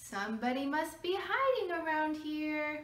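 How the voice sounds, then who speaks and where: Putting on a squeaky character voice, a woman speaks high-pitched at a moderate pace with lively intonation and audible echo. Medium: read story.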